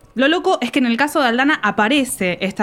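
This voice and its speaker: Her pace is fairly quick. This woman's pitch swings very widely as she speaks. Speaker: podcast host. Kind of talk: scripted podcast narration.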